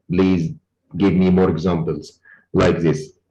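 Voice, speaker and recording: A dark, mellow tone with ordinary pitch variation. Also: man. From Egypt. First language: Arabic. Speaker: oil and gas lecturer. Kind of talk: online lecture Q&A.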